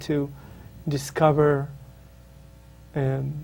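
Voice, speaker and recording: Someone with an Israeli accent sounds somewhat breathy, with audible room echo around the voice. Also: man. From Israel, northern kibbutz. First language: Hebrew. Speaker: spiritual author. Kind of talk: interview. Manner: halting, many fillers.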